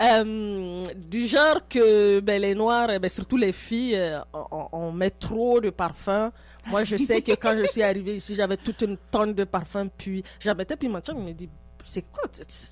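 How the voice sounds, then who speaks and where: Music plays behind a woman speaking at medium pitch and a fairly slow pace. Her loudness swings widely while her pitch varies in an ordinary way. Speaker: immigrant interviewee. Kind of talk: radio interview.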